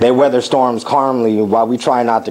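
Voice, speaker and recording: A man speaks in an ordinary speaking voice. His pitch is medium and his intonation fairly even. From United States. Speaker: war veteran. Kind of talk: spoken word performance.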